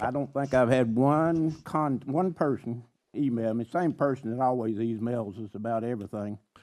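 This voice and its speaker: With a Tennessee accent, a man talks at a medium pitch in a dark, mellow tone, his pitch moving in an ordinary way against a quiet background. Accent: Southern US (Tennessee). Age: 80s+. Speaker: county commissioner. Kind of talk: public meeting debate. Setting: county commission meeting, televised.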